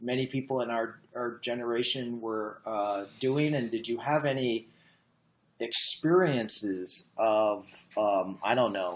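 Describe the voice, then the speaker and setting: A man is speaking. His pace is very slow. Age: 60s. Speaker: science journalist. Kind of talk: interview conversation.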